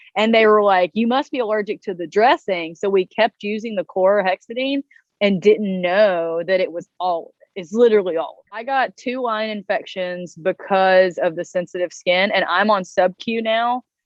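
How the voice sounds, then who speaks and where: A woman with a Southern US accent speaks at medium pitch and a moderate pace, with hardly any pauses. Her pitch varies in an ordinary way. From US South, North Carolina. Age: 30s. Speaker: interviewee living with chronic illness. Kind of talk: interview.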